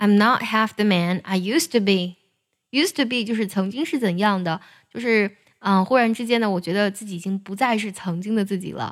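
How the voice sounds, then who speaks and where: A woman with an American accent speaks at a moderate pace and medium pitch, with ordinary pitch variation, on a very clean recording with a silent background. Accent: American-leaning English when reading. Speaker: English singing teacher. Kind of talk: tutorial.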